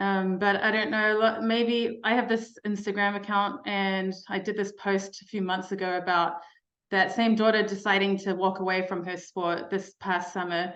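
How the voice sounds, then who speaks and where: At a moderate pace, a woman speaks in a medium pitch with monotone, flat intonation. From New Zealand. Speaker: mental health speaker, life coach. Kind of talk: keynote talk to parents.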